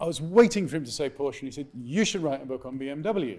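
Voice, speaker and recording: Talking at a very fast pace, a man with a fairly high pitch uses lively intonation in a British accent. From England. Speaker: author. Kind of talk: live interview at event. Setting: stage with audience.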